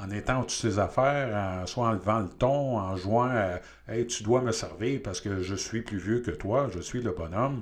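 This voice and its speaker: Fairly slow delivery from a man with a Quebec accent, a fairly low pitch and ordinary pitch variation. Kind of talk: interview.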